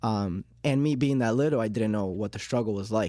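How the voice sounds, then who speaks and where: Speaking fairly quickly with a Miami accent, a man has a dark, mellow tone. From Miami, Florida, born in Uruguay. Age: 20s. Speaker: small business owner. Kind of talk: podcast interview. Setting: studio. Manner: hesitant, frequent um fillers.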